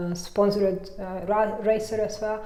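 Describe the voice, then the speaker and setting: A woman's medium-pitched, monotone voice with flat intonation and a strong Hungarian accent, plus audible room echo and noticeable background noise. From Hungary. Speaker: mountain bike coach and former racer. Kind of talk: interview. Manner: halting, many fillers.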